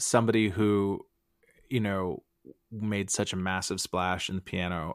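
A man speaks in a very deep, low voice with monotone, flat intonation. The recording is very clean and silent, with a dry, close sound and no echo. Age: 40s. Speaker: comedian. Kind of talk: casual chat.

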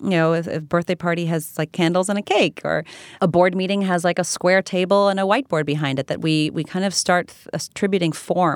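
A woman with an American accent and a plain, everyday voice talks at a fairly quick pace and a fairly low pitch, her intonation fairly even, in a very clean recording with a silent background and a dry, close sound with no echo. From moved to US as a child, grew up in US. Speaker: author and gathering facilitator. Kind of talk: interview.

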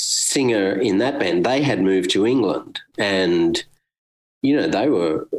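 The speaker is a man with an Australian accent. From Australia, Brisbane. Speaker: musician. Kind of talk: interview. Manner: hesitant, many fillers.

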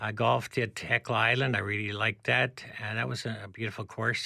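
On a very clean recording with a silent background, a man at medium pitch talks at a moderate pace in a bright, sharp tone with vocal fry. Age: 70s. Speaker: amateur golfer. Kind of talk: casual chat.

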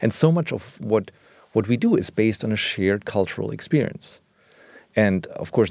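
Speaking in a German accent at a moderate pace, a man has a fairly low voice with very wide pitch swings. The recording is very clean, with a silent background. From West Germany. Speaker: illustrator. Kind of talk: interview conversation. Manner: halting.

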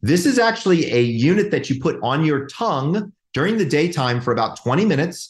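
The speech runs at a fairly quick pace with hardly any pauses and very wide pitch swings. Loudness stays very even over a quiet background. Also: man, fairly high pitch for a man. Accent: American. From Georgia, US South. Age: 50s. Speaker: clinical psychologist, sleep specialist. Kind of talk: interview. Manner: animated.

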